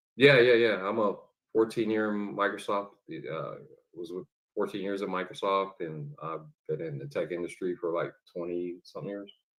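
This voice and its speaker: A man's fairly low-pitched voice at a moderate pace, with ordinary pitch variation and big swings in loudness. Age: 50s. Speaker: tech industry professional. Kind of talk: casual discussion. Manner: halting, many fillers.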